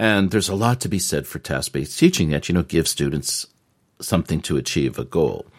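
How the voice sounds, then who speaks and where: A man with a very deep, low pitch talks at a fairly quick pace with lively intonation. Vocal fry runs through his voice. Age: 60s. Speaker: English teacher in Japan, podcast co-host. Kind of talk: casual chat.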